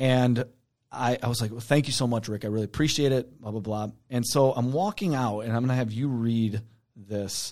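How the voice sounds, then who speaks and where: A man with an American accent and a normal speaking voice, medium pitch, fairly even intonation, fairly quick pace, on a very clean recording with a silent background. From Michigan, Detroit downriver area. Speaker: podcast co-host. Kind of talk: casual chat.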